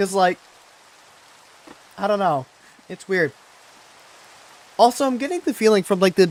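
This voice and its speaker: Noticeable background noise runs under this recording of a man. His pitch swings very widely as he talks. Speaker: gaming streamer. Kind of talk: casual live-stream commentary. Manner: halting, many fillers.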